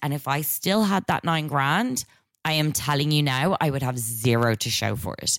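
A woman with a very deep, low pitch speaks in an animated tone at a moderate pace, the sound dry and close with no echo. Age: 30s. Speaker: podcast co-host. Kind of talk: casual chat.

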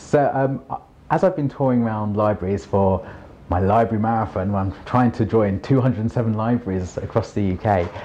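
A man with a London accent talks at a moderate pace, fairly low in pitch with ordinary pitch variation. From London, England. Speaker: children's author and poet. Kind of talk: interview.

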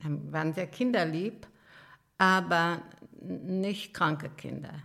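At a very slow pace, a woman speaks with fairly even intonation and a fairly low pitch. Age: 80s+. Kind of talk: life story interview. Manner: halting.

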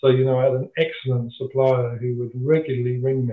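This man has a medium pitch. He speaks with a southern English accent. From England, Kent (Dover). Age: 60s. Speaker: retired packaging industry manager. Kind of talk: interview, personal career story.

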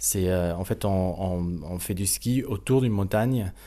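Speaking with a German accent, a man has a dark, mellow tone. He talks at a fairly slow pace. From South Tyrol, Italy (Sterzing). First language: German (speaking French). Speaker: baroque violinist. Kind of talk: interview. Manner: halting, many hesitations.

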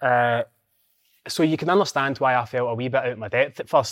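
A man with a Scottish accent speaks in a dry, close sound with no echo. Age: 40s. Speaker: former footballer and football pundit. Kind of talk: casual chat.

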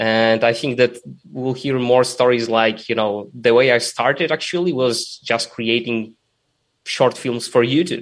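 At a fairly slow pace, a man with an unremarkable speaking voice talks at a medium pitch with fairly even intonation. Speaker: podcast host, interviewer. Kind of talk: casual interview.

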